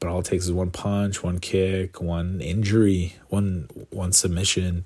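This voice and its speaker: This man has a very deep, low voice with a Canadian accent, speaking at a fairly slow pace with fairly even intonation. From Canada. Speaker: MMA commentator. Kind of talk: casual solo commentary. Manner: filler-heavy, halting.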